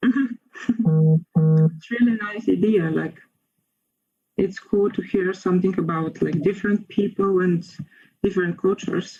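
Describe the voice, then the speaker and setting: At a fairly slow pace, a woman with a Bulgarian accent speaks in a somewhat breathy voice with a dark, mellow tone. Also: medium pitch for a woman, ordinary pitch variation. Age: 20s. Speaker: university student. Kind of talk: casual chat.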